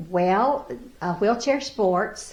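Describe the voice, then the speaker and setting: Lively in intonation, a woman's medium-pitched voice comes through with audible room echo. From US South, Pulaski County, Virginia. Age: 70s. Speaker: para-athlete. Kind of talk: interview. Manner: halting.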